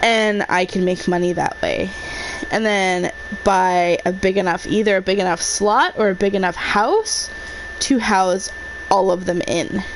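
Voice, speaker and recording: Noticeable background noise runs under the clip. A woman speaks at a fairly slow pace. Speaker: gaming streamer. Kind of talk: live gameplay commentary. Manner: quiet, soft-spoken at times; hesitant, many fillers.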